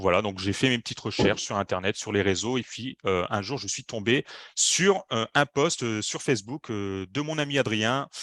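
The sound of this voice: This man's voice is fairly low in pitch with a fairly bright tone and ordinary pitch variation. He keeps a moderate pace, and the sound is dry and close with no echo.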